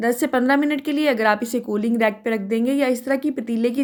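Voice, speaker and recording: Recorded very cleanly against a silent background, a woman talks at a moderate pace in a high voice. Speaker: cooking channel host. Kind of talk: cooking tutorial.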